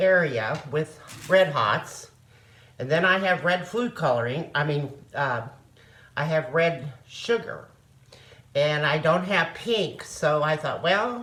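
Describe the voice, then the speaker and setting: Speaking very slowly with long, frequent pauses, a woman with a Missouri accent uses a very deep, low pitch and lively intonation. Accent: Midwestern American (Missouri). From Osage County, Missouri. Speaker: retired nurse. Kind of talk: home cooking demonstration. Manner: casual, homely.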